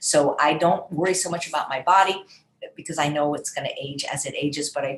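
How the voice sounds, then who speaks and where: A woman's very deep, low voice with ordinary pitch variation at a fairly quick pace. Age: 60s. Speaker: wellness program host, chef. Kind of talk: live Q&A session. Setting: live video stream with chat.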